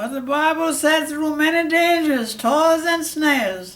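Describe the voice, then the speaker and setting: A man with an extremely high pitch speaks at a fairly slow pace with ordinary pitch variation. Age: 80s+. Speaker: World War II veteran. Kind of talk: interview answer.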